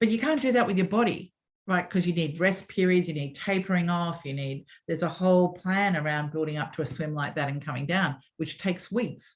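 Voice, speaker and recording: A woman with an Australian accent, fairly low pitch and a somewhat breathy voice, at a fairly quick pace with ordinary pitch variation. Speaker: former media executive and swim school founder. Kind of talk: interview storytelling. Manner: animated.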